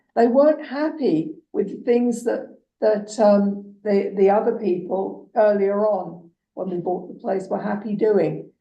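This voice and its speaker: A woman with an English accent, medium pitch, ordinary pitch variation and a fairly slow pace. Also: big swings in loudness. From England. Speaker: municipal councillor. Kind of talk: council meeting discussion.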